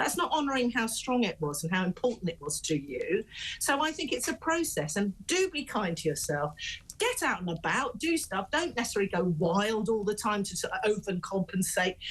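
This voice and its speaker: Somewhat breathy and fairly high, a woman's voice moves at a fairly quick pace with very wide pitch swings. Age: 60s. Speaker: parenting expert. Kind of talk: casual chat.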